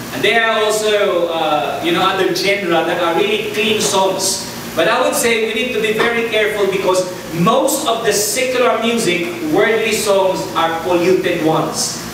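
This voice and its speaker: Amid noticeable background noise and strong room echo, a man with a high voice speaks at a moderate pace. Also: ordinary pitch variation. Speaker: preacher. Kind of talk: sermon. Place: church.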